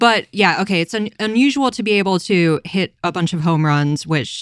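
A woman's normal speaking voice at a moderate pace with ordinary pitch variation, dry and close with no echo. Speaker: podcast host. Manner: joking, teasing.

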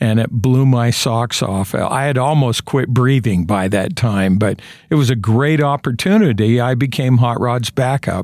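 A man with an American accent has an unremarkable speaking voice of medium pitch and ordinary pitch variation. He speaks at a fairly slow pace with very even loudness, in a very clean recording with a silent background. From eastern Idaho, US. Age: 60s. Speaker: sports play-by-play announcer. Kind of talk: interview, reminiscing. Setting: studio.

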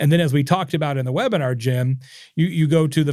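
Speaking at a very fast pace, a man has a fairly high, somewhat breathy voice with ordinary pitch variation. The recording is very clean, with a silent background. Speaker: marketing author and speaker. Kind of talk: casual interview chat.

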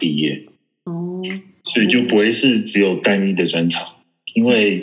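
Very wide pitch swings run through the voice, heard with audible room echo. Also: man. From Taiwan. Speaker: network engineer. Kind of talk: interview. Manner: halting.

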